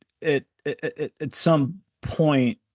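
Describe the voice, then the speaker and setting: A man's voice with ordinary pitch variation, in a dry, close sound with no echo. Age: 50s. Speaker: financial advisor and author. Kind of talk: interview. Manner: halting, repetitive.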